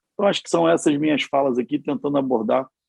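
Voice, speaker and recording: The man speaks with ordinary pitch variation. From Rio de Janeiro, Brazil. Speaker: politician and physician. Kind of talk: panel discussion. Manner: animated.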